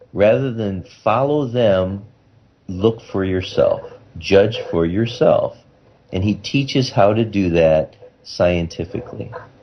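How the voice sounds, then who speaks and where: The speaker moves at a very slow pace with long, frequent pauses. Pitch variation is ordinary, and background noise is noticeable. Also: man, fairly low pitch for a man. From Iowa, United States. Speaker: neurosurgeon. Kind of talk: radio interview answer.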